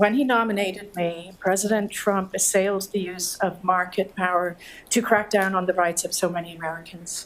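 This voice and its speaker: A woman with a Dublin accent speaks with fairly even intonation. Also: medium pitch for a woman, moderate pace. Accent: Irish (Dublin). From Ireland, Dublin. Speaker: government antitrust official. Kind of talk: keynote speech read from a script. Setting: lecture hall with audience, mic. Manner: soft-spoken; formal.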